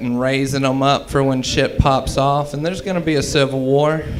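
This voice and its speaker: With an American accent, a man speaks at a moderate pace in a fairly high pitch and monotone, flat intonation. Audible room echo and noticeable background noise fill the recording. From US South (Mississippi). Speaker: stand-up comedian. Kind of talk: stand-up. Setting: stage with audience.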